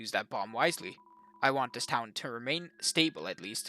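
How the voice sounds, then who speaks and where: Using a put-on character voice, a man speaks at a moderate pace and medium pitch, the sound dry and close with no echo. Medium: game stream.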